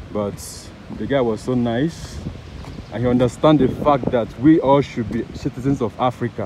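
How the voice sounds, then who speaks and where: A man talks with ordinary pitch variation over noticeable background noise, the sound dry with no echo. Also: moderate pace. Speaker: travel vlogger. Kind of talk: casual vlog chat. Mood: cheerful, excited. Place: open country. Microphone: phone near.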